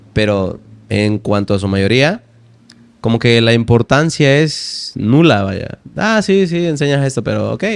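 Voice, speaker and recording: Speaking in an ordinary speaking voice at medium pitch, a man keeps a moderate pace with lively intonation. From Veracruz, Mexico. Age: 20s. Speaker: language teacher and poet. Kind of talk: interview answer.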